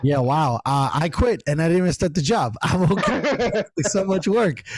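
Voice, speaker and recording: At a moderate pace, a man with a high pitch makes very wide pitch swings while keeping very even loudness, with noticeable background noise behind him. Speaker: podcast host. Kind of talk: casual podcast conversation.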